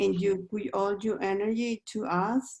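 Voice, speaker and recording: With a non-native accent, a dark, mellow voice speaks at a very slow pace with fairly even intonation. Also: woman. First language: not English. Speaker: book club participant. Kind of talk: closing thanks in online group session. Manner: halting.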